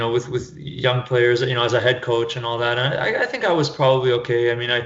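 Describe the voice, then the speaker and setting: Noticeable background noise and audible room echo fill the recording. Over them, a man with a Canadian accent talks fairly quickly at a medium pitch. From Canada, Toronto area. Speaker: soccer fitness coach. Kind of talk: podcast interview. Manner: halting, many repetitions.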